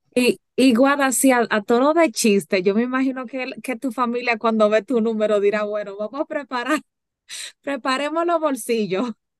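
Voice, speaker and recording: A woman speaks in a high pitch at a moderate pace, with ordinary pitch variation. The sound is dry and close, with no echo. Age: 30s. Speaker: podcast host. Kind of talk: casual chat.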